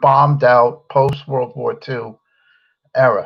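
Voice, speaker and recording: With an American accent, a man of medium pitch speaks at a fairly slow pace. His voice is somewhat breathy. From United States. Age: 60s. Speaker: political commentary host. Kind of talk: solo political commentary. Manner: halting, with many fillers.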